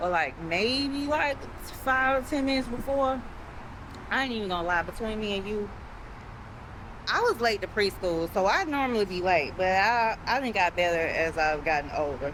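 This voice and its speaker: Against noticeable background noise, a woman with a fairly high voice speaks at a moderate pace, her pitch swinging very widely and her speech broken by long, frequent pauses. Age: 40s. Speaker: travel vlogger. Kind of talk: casual vlog narration. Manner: animated.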